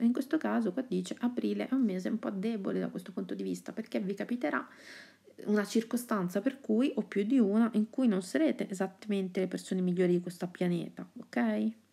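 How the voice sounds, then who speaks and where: Soft-spoken and somewhat breathy, a woman talks at medium pitch and a fairly quick pace, her tone dark and mellow and her intonation lively. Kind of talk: ASMR horoscope reading.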